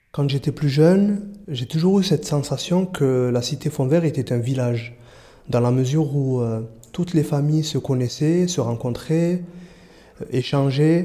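A man talks at a fairly slow pace with a fairly high pitch. His voice is somewhat breathy, with a dark, mellow tone. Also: ordinary pitch variation. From Marseille, southern France. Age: 30s. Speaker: youth prevention worker. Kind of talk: interview testimony. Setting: outdoors.

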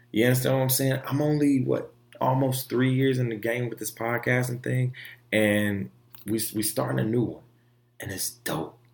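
This man talks at a moderate pace. His pitch is medium. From Florida. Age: 20s. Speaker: podcast host. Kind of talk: casual solo monologue. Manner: animated.

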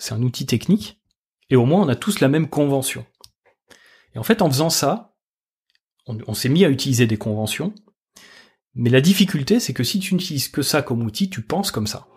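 A man talks at a fairly quick pace, somewhat breathy, with very wide pitch swings. Long pauses come often, and the recording is very clean with a silent background. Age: 40s. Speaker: energy design consultant and trainer. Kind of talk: casual interview. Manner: hesitant, many fillers and restarts.

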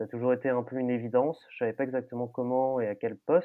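The man's voice is medium in pitch. He keeps to a moderate pace. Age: 30s. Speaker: festival production administrator. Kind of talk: interview. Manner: hesitant, many fillers and repetitions.

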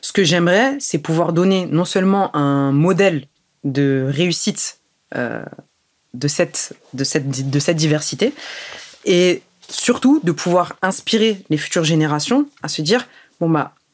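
Her pitch is fairly low for a woman, with lively intonation. She speaks at a fairly slow pace. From Germany until age 8, then France. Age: young. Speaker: entrepreneur. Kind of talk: interview.

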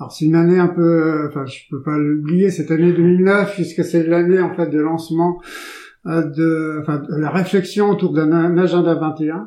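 This man has a high pitch and a dark, mellow tone. He speaks at a fairly slow pace. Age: 60s. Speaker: local elected official for sustainability and agriculture. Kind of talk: interview. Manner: halting, many fillers.

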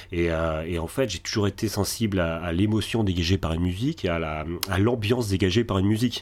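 A man with a very deep, low voice speaks fairly quickly with ordinary pitch variation, in a very clean recording with a silent background. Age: 40s. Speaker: podcaster. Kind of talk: interview. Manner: halting.

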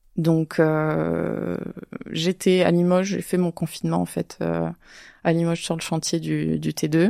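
A woman speaks at a fairly slow pace in a very clean recording with a silent background and a dry, close sound with no echo. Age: 30s. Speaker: real estate investor. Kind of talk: interview. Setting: studio, filmed. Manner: hesitant, many fillers.

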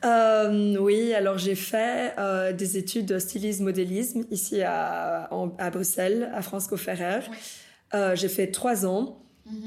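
A woman of medium pitch speaks very slowly and in a flat monotone, with audible room echo. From Bolivia, moved to Belgium at 13. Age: 20s. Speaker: fashion designer. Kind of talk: casual interview. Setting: designer's workshop.

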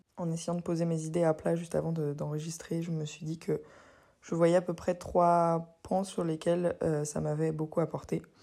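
A woman speaks at a moderate pace with fairly low pitch and a dark, mellow tone. Her intonation is monotone and flat, in a very clean recording with a silent background. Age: 20s. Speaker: podcaster. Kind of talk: personal monologue. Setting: at home. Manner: casual, hesitant with fillers.

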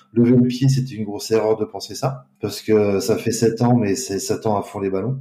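Dark, mellow tone at a moderate pace, with fairly even intonation and hardly any pauses. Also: man, medium pitch for a man. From France. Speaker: pastry chef. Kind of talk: interview. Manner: hesitant. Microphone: poor sound quality.

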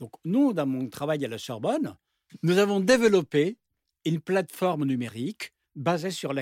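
A man talks at a moderate pace, his pitch swinging very widely. The recording is very clean and dry, with a silent background and no echo. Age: 60s. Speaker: university professor, urban planning expert. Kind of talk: panel discussion.

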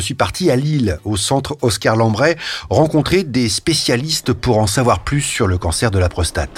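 This man talks at a moderate pace in a medium pitch, his voice somewhat breathy. His pitch swings very widely. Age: 50s. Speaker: journalist presenting a health podcast. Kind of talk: scripted narration.

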